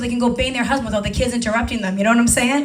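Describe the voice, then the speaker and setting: A woman with a high-pitched voice talks in an American accent while music plays in the background. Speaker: comedian, storyteller, bartender. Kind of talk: stand-up comedy set. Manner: sassy, humorous, conversational.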